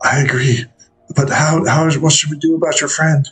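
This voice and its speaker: Putting on a raspy character voice, a man speaks at a fairly high pitch and a moderate pace. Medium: actual play.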